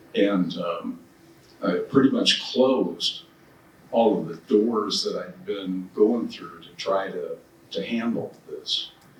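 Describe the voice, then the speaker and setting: Noticeable background noise sits under a man's voice. He speaks at a very slow pace with big swings in loudness. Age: 70s. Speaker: cancer patient. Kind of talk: panel discussion.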